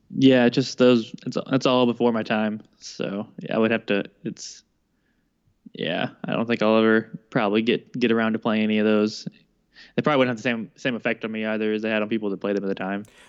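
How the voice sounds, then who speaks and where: An unremarkable speaking voice at a fairly quick pace, with fairly even intonation. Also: man, medium pitch for a man. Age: 20s. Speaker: podcast co-host. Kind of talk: casual chat.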